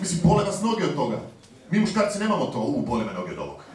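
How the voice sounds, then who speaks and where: A man speaks at a very fast pace in a high pitch, with audible room echo and light background noise. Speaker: stand-up comedian. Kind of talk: stand-up comedy. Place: stage.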